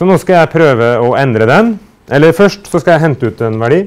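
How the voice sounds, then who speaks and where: A male speaker talks somewhat briskly, his pitch leaping up and down across a very wide range. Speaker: university lecturer. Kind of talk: lecture.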